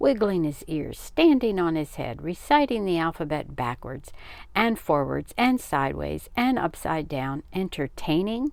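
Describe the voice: A woman speaks at a fairly slow pace in a low voice with a slightly mellow tone, big pitch swings and vocal fry.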